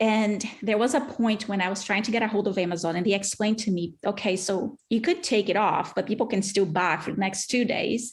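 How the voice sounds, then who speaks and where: A woman's somewhat breathy, medium-pitched voice at a fairly quick pace, with ordinary pitch variation, very even loudness and hardly any pauses. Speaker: speech-language pathologist and author. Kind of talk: interview.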